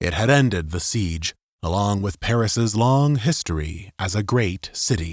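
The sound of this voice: An unforced reading voice moves with lively intonation. The background is quiet.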